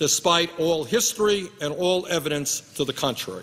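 Speaking with an American accent, a man talks at a moderate pace in a bright, sharp tone with a high pitch and ordinary pitch variation. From United States. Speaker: U.S. senator. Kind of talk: Senate floor speech. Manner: angry, impassioned. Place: hall. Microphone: podium.

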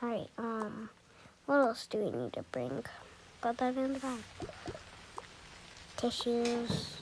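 A woman with a fairly high pitch and a slightly husky edge speaks slowly, with long, frequent pauses. Her intonation is lively.

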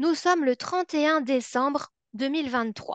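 A woman's high voice in a Belgian accent at a moderate pace, with a dry sound with no echo and a quiet background. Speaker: psychology researcher; webinar presenter. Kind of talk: webinar presentation. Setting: online webinar. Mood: warm, engaging. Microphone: video call.

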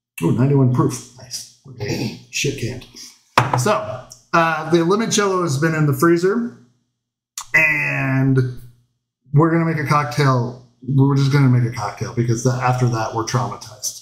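Against noticeable background noise, a man's fairly high-pitched voice shows ordinary pitch variation. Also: fairly slow pace. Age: 40s. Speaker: cooking show host. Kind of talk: casual chat. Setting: home livestream. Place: kitchen. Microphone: camera far.

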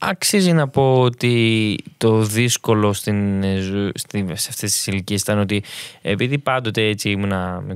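A man with an unremarkable speaking voice talks at a fairly low pitch and a fairly slow pace, with ordinary pitch variation. The recording is very clean, with a silent background. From Greece. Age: young. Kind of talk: testimony.

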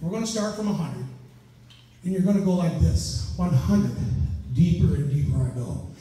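Strong room echo surrounds the voice. A man speaks at a fairly slow pace. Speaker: stage hypnotist. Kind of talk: hypnosis induction, stage hypnotist patter. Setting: live stage show with volunteers and audience. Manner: slow, soothing, hypnotic repetition; commanding and authoritative when directing volunteers. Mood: slow, soothing, repetitive. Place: hall. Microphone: camera far.

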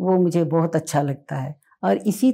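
A woman speaks at a fairly slow pace in a dark, mellow tone, her fairly low pitch showing ordinary variation against a quiet background. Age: 70s. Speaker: patient sharing testimonial; interviewee. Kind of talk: interview testimony. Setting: at her home. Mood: warm, appreciative. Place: home room. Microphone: lapel.

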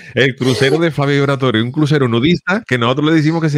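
Against a quiet background, a man speaks at a very fast pace in a dry sound with no echo. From Cádiz, Andalusia, Spain; Andalusia, Spain. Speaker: comedian and livestream host; comedian, livestream host. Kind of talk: casual chat. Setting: livestream from home. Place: home room. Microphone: studio mic.

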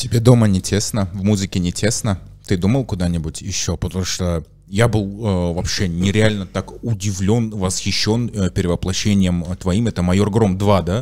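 Against a quiet background, a man speaks at a moderate pace and fairly low pitch. He has a normal speaking voice with fairly even intonation. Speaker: podcast host. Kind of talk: casual chat. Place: studio. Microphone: studio mic.

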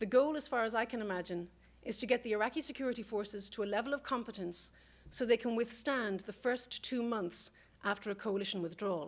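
Ordinary pitch variation in a woman's fairly high voice, delivered at a very fast pace. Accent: Irish. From Ireland. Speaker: political scientist; guest lecturer. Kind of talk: panel talk. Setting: stage with audience. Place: classroom.

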